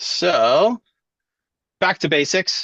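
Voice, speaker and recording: A man speaks with very wide pitch swings. His voice has vocal fry. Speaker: education technology trainer, former teacher. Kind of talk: webinar presentation. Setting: video call webinar.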